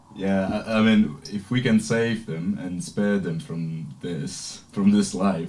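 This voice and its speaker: The speaker talks at a very slow pace and hardly ever pauses. Background noise is noticeable throughout. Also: man, fairly low pitch for a man, ordinary pitch variation. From Sicily, Italy. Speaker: radio host. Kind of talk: casual chat.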